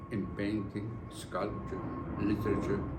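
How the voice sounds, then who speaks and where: A man speaks with audible room echo. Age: 80s+. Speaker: honoree giving acceptance speech. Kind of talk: formal speech. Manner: formal.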